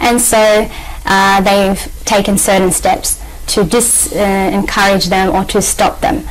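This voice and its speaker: In an Australian accent, a woman speaks at a very slow pace with fairly even intonation and very even loudness. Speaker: journalist and activist. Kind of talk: TV interview. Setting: TV studio. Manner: halting, many fillers. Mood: earnest, calm. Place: studio.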